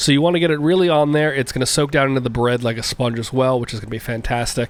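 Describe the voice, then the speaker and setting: Speaking at a very fast pace, a man holds a medium pitch with ordinary pitch variation. Noticeable background noise is present. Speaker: home cook. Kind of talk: cooking tutorial.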